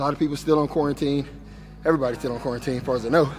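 Monotone, flat delivery from a man, with faint music in the background. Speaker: fitness trainer. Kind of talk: workout coaching. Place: gym.

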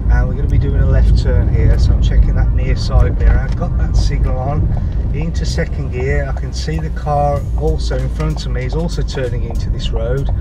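A man talks at a fairly quick pace over loud background music. The sound is dry, with no echo. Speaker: driving instructor. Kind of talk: tutorial. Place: car.

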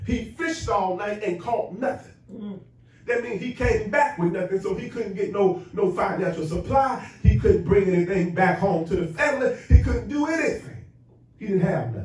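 Over music in the background and audible room echo, a man speaks in an animated tone at a moderate pace with big swings in loudness. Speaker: preacher. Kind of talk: sermon. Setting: church. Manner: animated, call-and-response preaching. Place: church.

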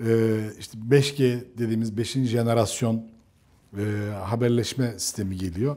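A man speaks at a fairly slow pace with a medium pitch and a dark, mellow tone. His intonation stays fairly even while his loudness swings widely. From Turkey. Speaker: tech program host; interview host. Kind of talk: interview. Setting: on location outside the studio. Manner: halting. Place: home room. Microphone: lapel.

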